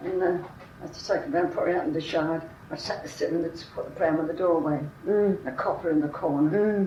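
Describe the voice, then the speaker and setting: A woman's fairly low voice moves at a fairly quick pace with fairly even intonation, noticeable background noise behind it. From London. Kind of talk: oral history interview answer.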